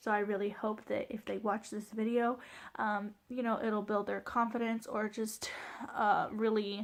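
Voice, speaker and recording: In a very clean recording with a silent background, a woman talks at a moderate pace with a fairly high pitch, fairly even intonation and a normal speaking voice. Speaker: vlogger sharing birth story. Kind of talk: personal storytelling vlog. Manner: casual, filler-heavy.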